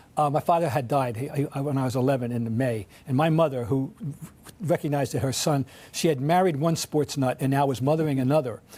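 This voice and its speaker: A man's fairly high voice with a dark, mellow tone, ordinary pitch variation and a fairly quick pace. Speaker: sports writer. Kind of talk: interview. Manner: halting, many restarts.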